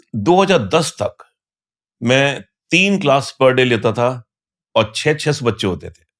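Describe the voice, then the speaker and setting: The background is silent and the recording very clean. A man talks with lively intonation. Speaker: tax educator. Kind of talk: casual interview.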